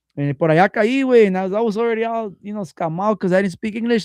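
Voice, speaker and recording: A man's high voice at a very fast pace, dry and close with no echo, over a quiet background. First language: Spanish. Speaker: podcast host. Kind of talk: casual chat. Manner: code-switching Spanish and English slang.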